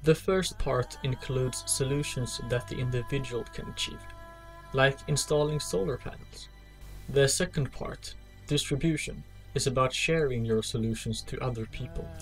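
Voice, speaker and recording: The speaker keeps a moderate pace as music plays in the background. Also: man. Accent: Swedish. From Sweden. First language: Swedish. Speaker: student applicant. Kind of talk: presentation voice-over narration.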